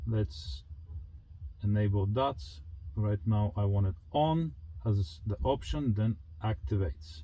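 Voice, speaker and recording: A man's fairly low, somewhat breathy voice with a non-native accent, a dark, mellow tone, very wide pitch swings, very even loudness, a very slow pace and long, frequent pauses. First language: not English. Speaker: car enthusiast youtuber. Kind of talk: product review walkthrough. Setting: home garage. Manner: casual, halting with fillers.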